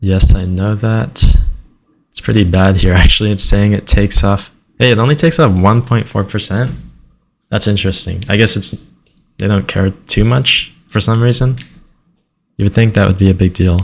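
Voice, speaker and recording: Long pauses come often, though the pace of the speech stays moderate. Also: man. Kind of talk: casual screen-recording commentary.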